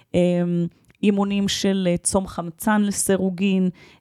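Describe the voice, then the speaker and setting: A woman's medium-pitched voice with a dark, mellow tone at a fairly slow pace, dry and close with no echo, on a very clean recording over a silent background. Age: 40s. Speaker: health expert and workshop leader. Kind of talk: interview.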